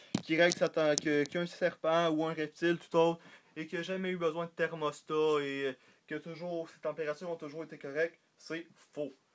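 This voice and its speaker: A man with a Quebec accent, fairly high pitch, monotone, flat intonation and big swings in loudness, on a very clean recording with a silent background. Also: moderate pace. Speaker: reptile hobbyist YouTuber. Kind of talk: casual tutorial vlog. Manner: halting, many fillers.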